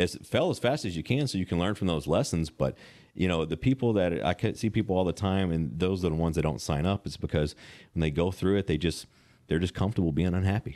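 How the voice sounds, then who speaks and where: A man with a Southern US accent talks very fast in a very deep, low voice with a dark, mellow tone. His intonation is lively and the background is quiet. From Western Kentucky. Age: 30s. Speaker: personal trainer. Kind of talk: casual interview. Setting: gym.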